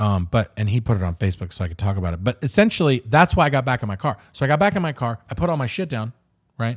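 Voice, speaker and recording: With an American accent and lively intonation, the speech comes at a very fast pace in a very clean recording with a silent background and a dry, close sound with no echo. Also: man. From Southern California, Inland Empire (Riverside). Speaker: podcast host. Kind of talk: casual chat.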